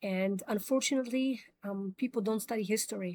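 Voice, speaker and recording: A woman's medium-pitched voice, fairly even in intonation, with a dry, close sound and no echo. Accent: non-native. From immigrant, grew up in New York. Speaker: commentary show host. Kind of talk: opinion monologue. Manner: hesitant, many fillers.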